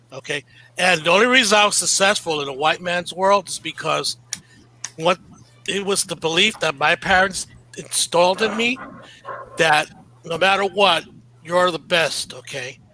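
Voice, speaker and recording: A high-pitched man's voice with long, frequent pauses amid noticeable background noise. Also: ordinary pitch variation, moderate pace. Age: 60s. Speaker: panelist, business consultant. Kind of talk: panel discussion. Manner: animated.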